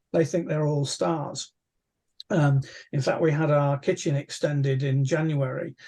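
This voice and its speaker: A man with a dark, mellow tone and a fairly high pitch speaks at a moderate pace over a quiet background. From England. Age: 60s. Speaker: amateur astronomer, astronomy society chair; guest. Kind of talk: casual interview. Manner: hesitant, many fillers and repeats. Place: home room. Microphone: video call.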